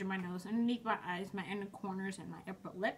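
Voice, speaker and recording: A woman keeps her intonation fairly even while noticeable background noise carries on. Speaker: beauty vlogger. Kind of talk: tutorial. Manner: fast; casual, chatty.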